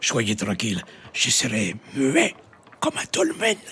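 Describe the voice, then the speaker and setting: Someone uses a put-on, raspy character voice, speaking rather slowly. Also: man, medium pitch for a man. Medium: audio drama.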